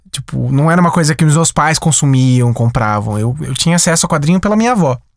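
With an ordinary speaking voice, a man talks at a moderate pace. His pitch varies in an ordinary way. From interior of São Paulo state, Brazil (Sumaré). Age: 30s. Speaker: animator and animation studio director. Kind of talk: interview.

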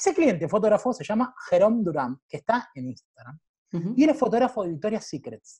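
Pitched high, a man talks at a fairly quick pace with very wide pitch swings and big swings in loudness. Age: 30s. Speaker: programming school founder and freelancer. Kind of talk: interview.

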